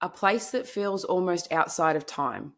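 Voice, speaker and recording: Speaking with a strong Australian accent, a woman talks at a fairly low pitch and a fairly slow pace on a very clean recording with a silent background. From Queensland, Australia. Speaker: true crime podcaster. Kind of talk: podcast narration. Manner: casual, conversational.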